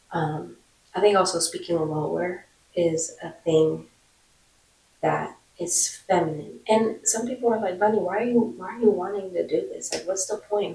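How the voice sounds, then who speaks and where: At a moderate pace, a woman talks with a somewhat breathy voice at a medium pitch, with ordinary pitch variation. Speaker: vlogger. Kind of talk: casual vlog monologue.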